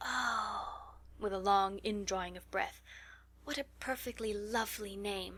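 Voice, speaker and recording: Vocal fry runs through a bright, sharp tone with an American accent. The recording is very clean, with a silent background. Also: woman. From Texas, USA. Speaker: audiobook narrator. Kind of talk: audiobook reading of a classic novel.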